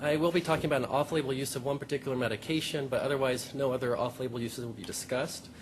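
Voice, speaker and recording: A man speaks softly. His pace is very fast. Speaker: pediatric epileptologist. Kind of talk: conference talk. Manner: soft-spoken.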